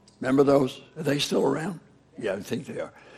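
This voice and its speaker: Noticeable background noise runs under this recording. The male speaker uses a medium pitch that varies in an ordinary way. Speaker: preacher. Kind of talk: sermon.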